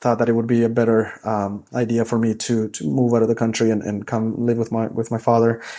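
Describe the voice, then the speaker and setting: A fairly quick delivery in a dark, mellow tone. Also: man. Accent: Spanish. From El Salvador. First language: Spanish. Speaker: high school soccer coach. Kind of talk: casual interview chat. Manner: animated storytelling.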